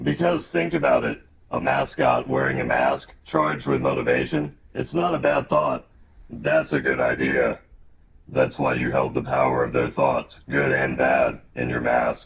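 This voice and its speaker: In a raspy put-on character voice, a man speaks at a moderate pace with a very deep, low pitch. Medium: comedy sketch. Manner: grave, cryptic, portentous.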